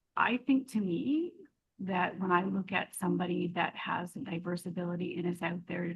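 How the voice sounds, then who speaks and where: A woman with a fairly low, somewhat breathy voice speaks at a fairly slow pace. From Alberta, Canada. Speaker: author. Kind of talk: podcast interview answer.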